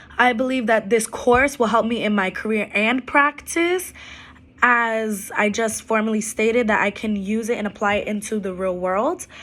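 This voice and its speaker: Delivery is fairly slow, and the pitch rises and falls in an ordinary way. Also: woman. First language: Arabic and Spanish. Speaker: student and preschool administrative assistant. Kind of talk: class assignment video presentation. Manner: hesitant with frequent fillers.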